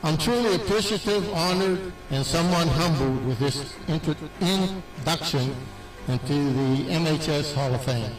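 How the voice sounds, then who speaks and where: Amid noticeable background noise and audible room echo, a man speaks at a moderate pace with a fairly high pitch, lively intonation and very even loudness. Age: 70s. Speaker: retired teacher and coach. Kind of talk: acceptance speech.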